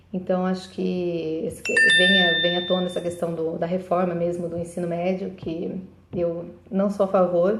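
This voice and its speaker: Speaking in a flat monotone, a woman with a fairly low voice is heard with audible room echo. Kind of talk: live video monologue. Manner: fast; halting.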